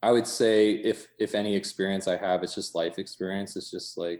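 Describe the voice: Fairly even in intonation, a man speaks at a moderate pace in a low, slightly mellow voice.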